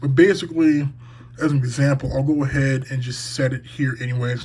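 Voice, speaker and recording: A normal speaking voice keeps a moderate pace, and its pitch varies in an ordinary way. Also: man. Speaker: sports podcaster. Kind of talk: tutorial. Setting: home room.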